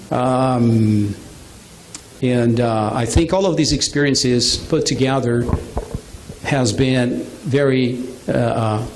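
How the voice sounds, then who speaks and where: A man at medium pitch with a Brazilian Portuguese accent and ordinary pitch variation, at a very slow pace, with audible room echo and noticeable background noise. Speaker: business presenter. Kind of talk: business presentation. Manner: halting.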